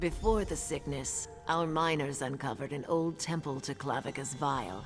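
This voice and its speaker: A put-on character voice sits at a low-to-middle pitch. Music plays clearly in the background. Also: moderate pace. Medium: video game. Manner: solemn, measured.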